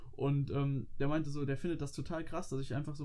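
Very fast and fairly even in intonation, a man speaks with a fairly high pitch. His tone is dark and mellow. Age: 20s. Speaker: student and podcast co-host. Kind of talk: casual chat.

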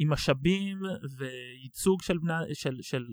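A man speaks with ordinary pitch variation. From Israel, Tel Aviv. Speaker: business development director and nonprofit co-founder. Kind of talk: casual interview. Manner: fast.

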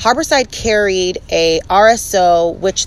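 A woman speaks at medium pitch with ordinary pitch variation over noticeable background noise. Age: 20s. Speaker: cannabis podcast host. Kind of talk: casual chat.

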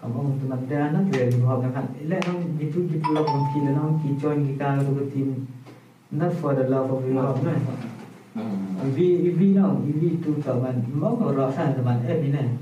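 Noticeable background noise and audible room echo surround this recording. A man talks fairly slowly at a fairly high pitch, with ordinary pitch variation. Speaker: podcast host. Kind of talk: casual chat. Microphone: camera audio, poor sound quality.

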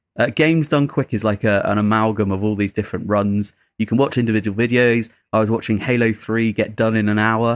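In a normal speaking voice, a man talks at a fairly quick pace and medium pitch with fairly even intonation and very even loudness, the sound dry and close with no echo. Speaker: podcast co-host. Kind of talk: casual chat. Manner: laid-back, joking.

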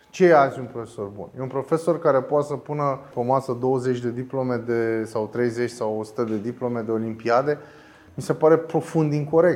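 Here is a man with a plain, everyday voice and a medium pitch. He talks at a moderate pace with ordinary pitch variation. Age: 40s. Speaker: philosophy teacher. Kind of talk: interview.

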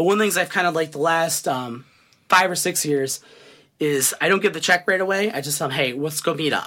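A bright, sharp tone in an American accent, fairly quick pace and ordinary pitch variation. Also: man, high pitch for a man. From US Midwest, Cleveland area, Ohio. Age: 30s. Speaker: city councilman and military veteran. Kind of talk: casual interview. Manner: hesitant, many fillers.

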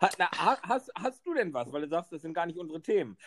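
Here is a man talking. His pitch swings very widely. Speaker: podcast co-host and beekeeper. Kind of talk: casual chat.

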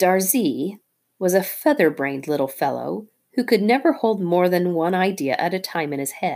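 Here is plain reading aloud with lively intonation. The background is quiet.

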